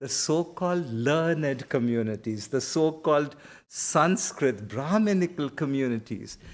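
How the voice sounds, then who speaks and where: A man with a Karnataka accent speaks at a fairly slow pace with lively intonation. The recording is very clean, with a silent background. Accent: Indian English (Kannada). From India (Karnataka). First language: Kannada. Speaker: seminary professor and pastor. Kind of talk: lecture with Q&A answer. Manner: conversational, self-correcting.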